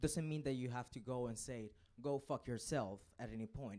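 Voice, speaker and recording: A man's medium-pitched voice, dark and mellow in tone, with ordinary pitch variation, a moderate pace and a non-native accent. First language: not English. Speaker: student speaking from the gallery. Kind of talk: council debate speech.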